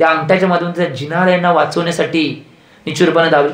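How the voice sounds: A man speaks at a fairly high pitch.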